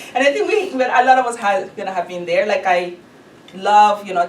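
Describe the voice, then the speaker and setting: A woman speaks with a Spanish accent. The room echo is audible, and there is noticeable background noise. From Honduras. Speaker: ESL instructor. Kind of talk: lecture.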